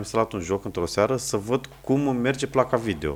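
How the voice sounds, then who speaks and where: A man speaks with ordinary pitch variation in an unremarkable speaking voice. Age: 30s. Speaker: wedding videographer. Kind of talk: casual chat.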